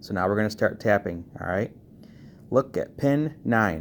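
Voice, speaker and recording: This man has a fairly low pitch. He talks at a fairly slow pace. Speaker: car audio tutorial youtuber. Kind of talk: tutorial. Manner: casual.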